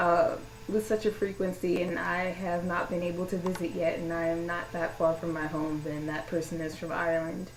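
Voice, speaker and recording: A woman's fairly low, monotone, flat voice amid audible room echo and noticeable background noise. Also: moderate pace. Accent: American. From US South, Louisiana. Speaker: vlogger. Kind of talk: personal vlog monologue. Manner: casual, hesitant with many fillers.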